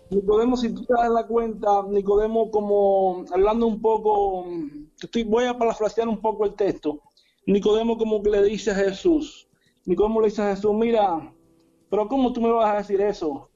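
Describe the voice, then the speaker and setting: With a high pitch and fairly even intonation, a man speaks at a moderate pace. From Cuba. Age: 40s. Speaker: apostle, preacher. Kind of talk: preaching in interview. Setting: video call from home.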